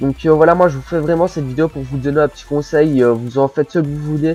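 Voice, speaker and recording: Music plays in the background as a man speaks with a strong Belgian accent. His pitch is fairly high, with ordinary pitch variation. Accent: Belgian French, says it is strong. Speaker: gaming commentator. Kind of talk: gameplay commentary, casual advice monologue. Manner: casual, hesitant with many fillers.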